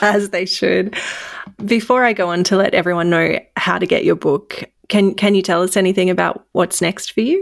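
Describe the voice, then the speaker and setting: Over a very clean recording with a silent background, a woman with an Australian accent and vocal fry speaks at a moderate pace with fairly even intonation. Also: medium pitch for a woman. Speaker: podcast host. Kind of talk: scripted narration; interview.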